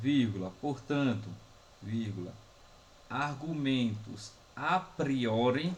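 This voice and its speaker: Speaking very slowly with long, frequent pauses, a man uses a somewhat breathy, medium-pitched voice with lively intonation amid audible room echo. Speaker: philosophy professor. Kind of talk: lecture. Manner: slow, dictating.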